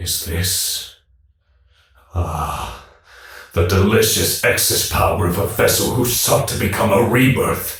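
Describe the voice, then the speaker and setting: A man's put-on character voice, fairly low and raspy, at a fairly slow pace with long, frequent pauses and a slight echo. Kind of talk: video game dub dialogue. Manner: relishing, mocking.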